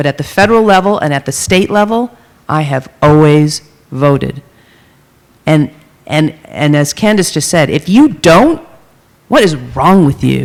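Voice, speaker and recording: Fairly slow speech with long, frequent pauses. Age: 50s. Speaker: panelist. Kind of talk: panel discussion. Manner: halting.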